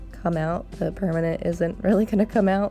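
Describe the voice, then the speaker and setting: A woman's monotone, flat delivery at a moderate pace, with music in the background. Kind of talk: casual hair tutorial talk to camera. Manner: hesitant, many filler ums.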